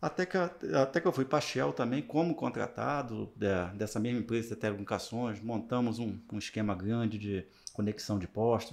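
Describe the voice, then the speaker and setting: With a normal speaking voice, a man talks at medium pitch and a moderate pace. His intonation is lively, and the background is quiet. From interior of Rio de Janeiro state, Brazil. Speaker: project management professional and university lecturer. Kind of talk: casual interview chat. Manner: relaxed, conversational, with frequent fillers.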